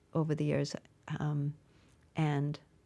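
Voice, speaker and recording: A woman speaks with an American accent and vocal fry. Her very deep, low pitch pairs with a dark, mellow tone. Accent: Boston accent, comes out when emotional. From Massachusetts (Brockton, near Boston). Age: 70s. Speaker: stand-up comedian. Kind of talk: interview conversation. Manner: halting, with frequent restarts.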